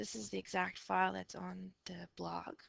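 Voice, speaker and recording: A woman whispering at a fairly slow pace, with a dry, close sound and no echo. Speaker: teacher. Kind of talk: lecture. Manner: half whispering; hesitant.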